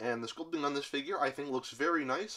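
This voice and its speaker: The surroundings are silent. The speaker is a man. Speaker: toy reviewer. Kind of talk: product review. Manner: sounds annoyed; hesitant, many fillers. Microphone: phone near.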